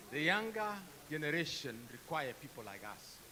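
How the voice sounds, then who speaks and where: Very wide pitch swings mark this man's speech at a moderate pace. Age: 70s. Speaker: professor. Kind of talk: audience question at panel.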